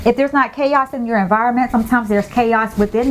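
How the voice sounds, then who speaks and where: With an American accent, a woman talks in a fairly high, animated voice over noticeable background noise. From US South, Tampa, Florida. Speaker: lifestyle vlogger. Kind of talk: casual monologue. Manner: loud.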